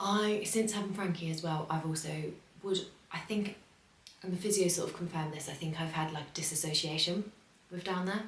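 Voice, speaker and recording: A woman with an English accent speaks at a fairly quick pace with fairly even intonation, amid noticeable background noise and audible room echo. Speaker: vlogger. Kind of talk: casual vlog. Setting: home, early morning. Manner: soft-spoken; hesitant, many fillers.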